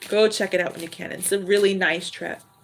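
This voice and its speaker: A woman speaks at a very fast pace with fairly even intonation over noticeable background noise. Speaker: tarot reader. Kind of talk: live stream tarot reading chat. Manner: high-pitched; loud.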